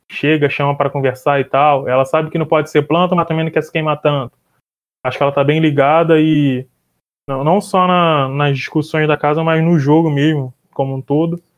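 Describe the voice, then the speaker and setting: At a moderate pace, a man with a fairly high pitch speaks in a monotone, flat way, with long, frequent pauses. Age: 20s. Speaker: journalist. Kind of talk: casual chat.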